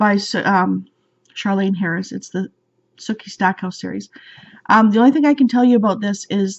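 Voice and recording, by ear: A natural voice reading aloud, quiet all around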